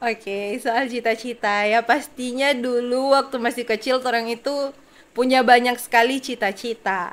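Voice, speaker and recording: A high-pitched woman speaks in a flat monotone at a moderate pace with hardly any pauses, on a very clean recording with a silent background. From Tentena, Central Sulawesi, Indonesia. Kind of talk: testimony interview.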